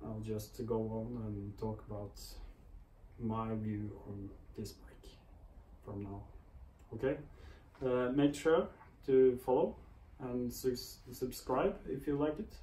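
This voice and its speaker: A man's somewhat breathy voice with a dark, mellow tone and medium pitch, very slow and full of long, frequent pauses, ordinary in pitch variation, with big swings in loudness and audible room echo. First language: not English. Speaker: motorcycle vlogger. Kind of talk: product review vlog. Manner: hesitant, many fillers.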